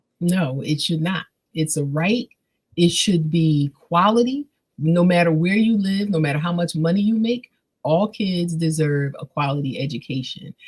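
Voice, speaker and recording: Lively intonation marks this woman's somewhat breathy, fairly low-pitched voice with an American accent. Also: moderate pace. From Philadelphia. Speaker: literacy advocate. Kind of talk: interview.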